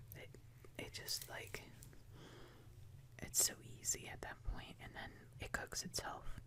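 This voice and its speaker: The voice is whispering at a fairly slow pace. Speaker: ASMR creator. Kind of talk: soft-spoken ASMR ramble. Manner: soft-spoken.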